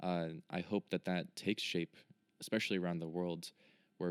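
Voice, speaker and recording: A man's very deep, low voice with an American accent, fairly quick and flat in monotone, in dry, close sound with no echo. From United States. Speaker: podcast host. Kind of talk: interview.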